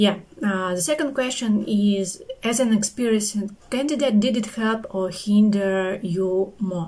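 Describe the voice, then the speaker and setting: A woman's somewhat breathy, dark and mellow voice at medium pitch, very slow with ordinary pitch variation, in a non-native accent. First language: not English. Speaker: QA engineer, interview candidate. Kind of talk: spoken review of a service.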